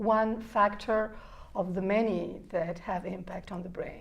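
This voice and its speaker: Speaking at a medium pitch, a woman is heard with audible room echo around her voice. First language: Spanish. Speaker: neuroscience researcher. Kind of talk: interview.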